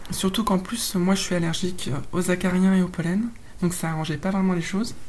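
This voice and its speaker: A woman at a medium pitch and fairly quick pace with fairly even intonation, amid noticeable background noise and audible room echo. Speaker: voice feminization client. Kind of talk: testimony. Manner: halting, many hesitations.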